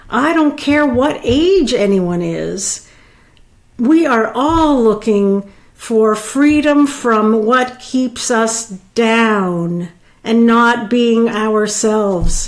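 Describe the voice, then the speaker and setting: A woman with a fairly high voice speaks at a very slow pace with ordinary pitch variation. Her loudness stays very even, and there is audible room echo. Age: 60s. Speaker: life coach. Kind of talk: personal vlog monologue. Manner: halting.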